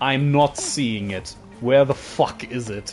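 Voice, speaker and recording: A man speaks. Music plays in the background. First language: German. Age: 20s. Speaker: streamer. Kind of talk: casual live stream commentary. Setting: live stream.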